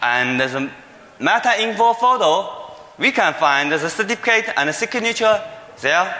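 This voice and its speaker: With audible room echo, a man with a Chinese accent uses a raised, projected voice at a high pitch, swinging very widely in pitch at a fairly slow pace. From China. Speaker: security researcher. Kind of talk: conference talk. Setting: stage with audience. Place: hall. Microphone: podium.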